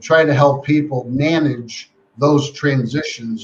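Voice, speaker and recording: Somewhat breathy male voice with fairly even intonation. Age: 70s. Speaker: life coach. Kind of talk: interview.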